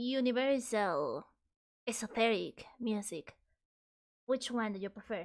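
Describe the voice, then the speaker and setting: Soft-spoken, a woman talks at a fairly high pitch and a fairly slow pace, with long, frequent pauses. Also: ordinary pitch variation. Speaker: vtuber streamer. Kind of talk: casual livestream chat. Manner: loud; trying to speak softly.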